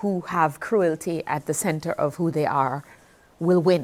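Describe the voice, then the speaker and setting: On a very clean recording with a silent background, a woman with a fairly low pitch speaks at a very slow pace with ordinary pitch variation. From Jamaica. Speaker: poet. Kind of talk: interview answer. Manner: emotional, halting.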